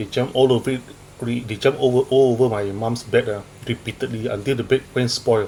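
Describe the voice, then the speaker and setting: Mumbling at a moderate pace, a man with a Malaysian accent keeps a medium pitch and a monotone, flat intonation. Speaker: stand-up comedian. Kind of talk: stand-up. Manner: halting.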